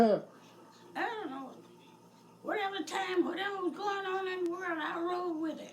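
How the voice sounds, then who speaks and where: With noticeable background noise, a woman with an extremely high voice speaks with long, frequent pauses, big swings in loudness, and ordinary pitch variation. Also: moderate pace. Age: 80s+. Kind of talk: interview answer.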